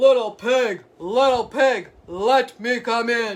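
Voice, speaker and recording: A put-on character voice, growling and fairly high-pitched, at a very slow pace. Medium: read story.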